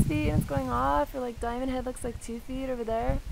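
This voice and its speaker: There is noticeable background noise. A woman talks at a very fast pace. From Hawaii (Honolulu). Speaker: surfer and fashion brand founder. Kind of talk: personal video tour and life story. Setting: outdoors at her family home. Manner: casual, filler-heavy.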